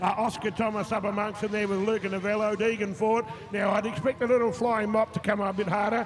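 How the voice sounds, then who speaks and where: Over noticeable background noise, a man with an Australian accent talks very fast at a high pitch, his intonation monotone and flat. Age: 60s. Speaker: motocross commentator. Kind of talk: live commentary. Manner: halting.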